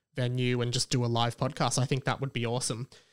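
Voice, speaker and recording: Here a man speaks in an Australian accent. The audio is very clean, and the background is silent. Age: 20s. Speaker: podcast host. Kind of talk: casual chat.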